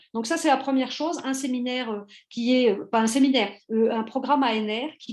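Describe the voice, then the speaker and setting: Talking at a moderate pace, a woman uses a high pitch. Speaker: university historian, seminar speaker. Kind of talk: academic presentation. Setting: online seminar. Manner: halting, many hesitations.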